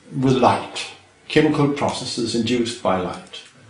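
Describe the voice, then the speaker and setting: This man talks at a fairly slow pace in a medium pitch. Noticeable background noise and audible room echo surround his voice. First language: Danish. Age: 60s. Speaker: retired chemistry professor. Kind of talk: interview. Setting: filmed interview.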